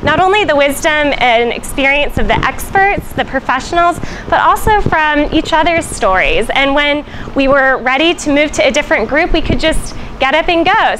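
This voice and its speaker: Over noticeable background noise, a woman with a high pitch talks at a moderate pace with lively intonation. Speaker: church missionary reporting. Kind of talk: casual report to camera. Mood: cheerful, smiling. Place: street. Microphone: lapel.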